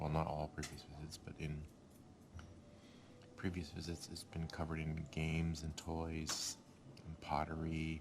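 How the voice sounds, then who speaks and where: A quiet man speaks at a moderate pace with a very deep, low pitch. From Scotland. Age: old. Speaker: vlogger. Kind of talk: casual vlog talk. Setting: hotel breakfast room.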